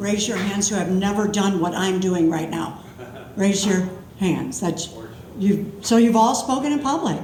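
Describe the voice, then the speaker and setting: Through noticeable background noise and audible room echo, the speech comes at a fairly slow pace with ordinary pitch variation. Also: woman, medium pitch for a woman. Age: 70s. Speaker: storyteller. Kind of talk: live storytelling. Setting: stage with audience. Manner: casual, chatty.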